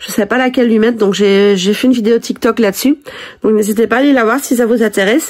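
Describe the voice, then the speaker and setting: The woman's fairly high voice rushes along at a very fast pace. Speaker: reborn doll collector vlogger. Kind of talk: casual vlog. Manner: hesitant, many fillers.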